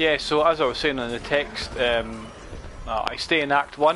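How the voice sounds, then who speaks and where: Over noticeable background noise, a man with a Scottish accent talks at a moderate pace. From Scotland. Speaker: gaming streamer. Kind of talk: casual gameplay commentary. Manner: halting, many fillers.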